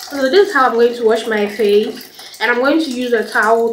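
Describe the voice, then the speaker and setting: Noticeable background noise and audible room echo surround a woman speaking at a moderate pace. Her pitch is fairly high and her intonation fairly even. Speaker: vlogger. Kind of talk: casual vlog chat. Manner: halting, stammering.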